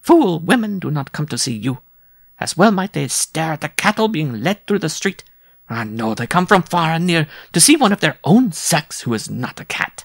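A man puts on a character voice with fairly high pitch, vocal fry and big pitch swings, moving at a moderate pace.

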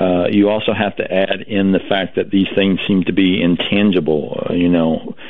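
A moderate pace with fairly even intonation. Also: man, low pitch for a man.

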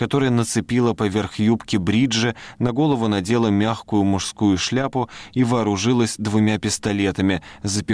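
Fairly level intonation while reading aloud in a natural voice.

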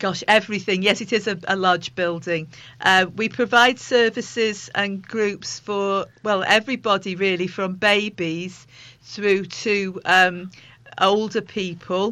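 This woman has a medium pitch and a fairly bright tone. She talks at a fairly slow pace with fairly even intonation.

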